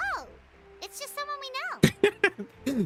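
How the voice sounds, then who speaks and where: Squeaky and extremely high, this put-on character voice makes very wide pitch swings. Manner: disappointed.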